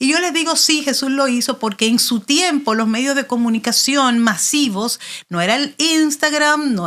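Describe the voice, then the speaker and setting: A woman speaks at a high pitch in an animated, bright, sharp tone. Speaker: pastor. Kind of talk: interview.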